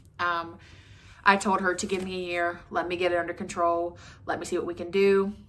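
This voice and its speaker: Speaking fairly quickly with an Appalachian accent, a woman keeps her fairly low pitch in a monotone, flat intonation. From West Virginia. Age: 30s. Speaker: vlogger. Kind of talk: casual chat. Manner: fast.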